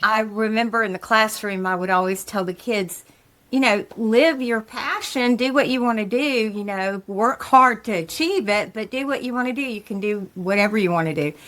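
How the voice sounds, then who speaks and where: In a normal speaking voice pitched fairly high, a woman speaks at a moderate pace with ordinary pitch variation and hardly any pauses. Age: 60s. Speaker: stand-up comedian and retired elementary school teacher. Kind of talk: casual interview chat. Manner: conversational, frequent fillers like you know and um.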